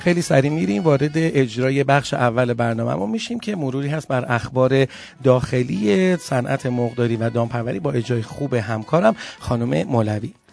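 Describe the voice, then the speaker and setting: Amid noticeable background noise, a man with a medium pitch speaks at a moderate pace with ordinary pitch variation. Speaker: radio podcast host. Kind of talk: radio show presenting; storytelling.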